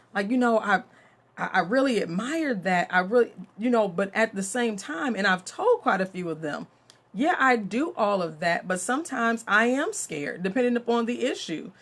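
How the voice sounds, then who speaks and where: Speaking at a moderate pace, a woman with a fairly high pitch sounds animated, her intonation lively. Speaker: mentor and author. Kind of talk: live stream talk. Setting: Facebook live video. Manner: loud.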